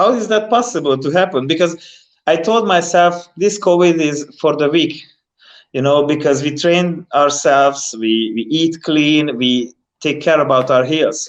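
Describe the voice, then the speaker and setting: Against a quiet background, a man with a non-native accent talks at a fairly slow pace in a fairly high voice. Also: ordinary pitch variation. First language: not English. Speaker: professional bodybuilder. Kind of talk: podcast interview. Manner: halting; animated.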